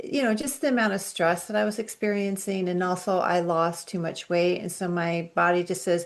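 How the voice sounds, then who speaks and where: In a quiet background, a woman speaks at a medium pitch with ordinary pitch variation. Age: 60s. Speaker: functional medicine practitioner, dietitian. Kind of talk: interview.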